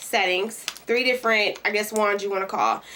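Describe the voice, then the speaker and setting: Over noticeable background noise, a woman with a Kentucky accent talks with fairly even intonation. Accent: country Kentucky. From Kentucky, US South. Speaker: beauty vlogger and hairstylist. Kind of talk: product review tutorial. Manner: casual, many fillers.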